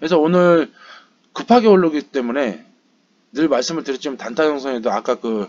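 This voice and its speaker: Talking at a fairly quick pace, a man uses lively intonation broken by long, frequent pauses. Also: fairly high pitch for a man. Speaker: stock market YouTuber. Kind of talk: market recap commentary. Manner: hesitant, many fillers; fast.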